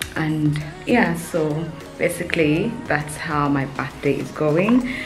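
With faint music in the background, a woman speaks in a very deep, low pitch with ordinary pitch variation. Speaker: vlogger. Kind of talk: casual vlog chat. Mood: excited, cheerful. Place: home room. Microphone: phone near.

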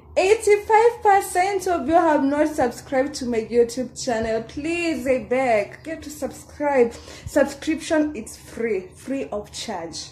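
Her voice high and swinging widely in pitch, a woman speaks at a very slow pace with big swings in loudness. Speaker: vlogger. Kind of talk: casual vlog chat. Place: home room. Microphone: phone near.

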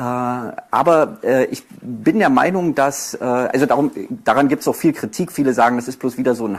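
A man speaking at a moderate pace. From Berlin, Germany. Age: 40s. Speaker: author and poetry slammer; speaker. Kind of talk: lecture. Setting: university lecture hall with audience. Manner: halting, many fillers. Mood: self-deprecating, slightly nervous. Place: hall.

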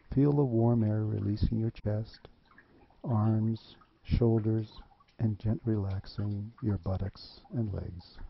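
A man speaks very slowly in a soothing, calm tone, somewhat breathy, with fairly even intonation. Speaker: guided meditation instructor. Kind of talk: guided meditation. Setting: video. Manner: slow, soothing, calm and measured; gentle, instructional, with long pauses.

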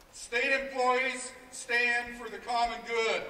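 In a room with audible echo and light background noise, a man speaks at an extremely high pitch. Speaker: union executive director. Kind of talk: impassioned rally speech with rhetorical questions. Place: street.

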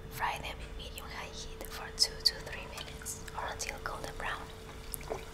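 Whispering with hardly any pauses, over noticeable background noise. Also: fairly slow pace. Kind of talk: whispering ASMR cooking recipe narration. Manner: whispered, soft-spoken.

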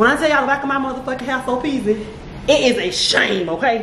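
A woman's high voice at a very fast pace with ordinary pitch variation, audible room echo and noticeable background noise. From Florida. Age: 40s. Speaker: vlogger. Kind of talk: casual vlog chat. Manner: animated.

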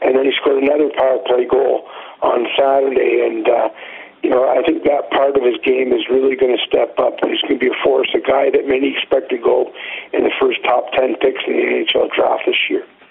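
A man's medium-pitched voice with vocal fry, at a fairly quick pace with few pauses and little pitch movement.

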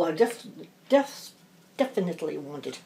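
A woman at a fairly low pitch with lively intonation. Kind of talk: casual craft chat while working. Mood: amused, chatty. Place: home room. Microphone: phone near.

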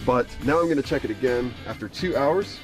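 A man's voice sounds dry with no echo as he keeps a moderate pace, clear music playing behind him. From Southeastern North Carolina. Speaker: barbecue cook. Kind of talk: casual cooking talk to camera. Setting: outdoors. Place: garden.

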